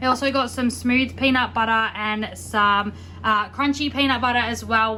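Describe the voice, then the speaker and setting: A woman with an Australian accent talks at a fairly quick pace in a fairly high pitch, her intonation monotone and flat. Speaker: lifestyle vlogger. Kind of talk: casual haul vlog talk. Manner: fast.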